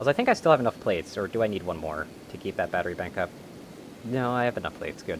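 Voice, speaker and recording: Racing along at a very fast pace, a man talks in a medium pitch with very wide pitch swings. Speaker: video game streamer. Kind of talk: live gameplay commentary. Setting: live stream.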